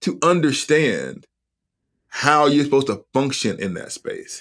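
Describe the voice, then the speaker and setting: On a very clean recording with a silent background, a man with an American accent speaks at a very slow pace. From US South, Huntsville, Alabama. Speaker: seminary professor and author. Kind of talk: podcast interview.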